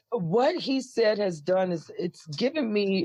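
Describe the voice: A woman speaks with lively intonation. Her voice is husky, with a slightly mellow tone.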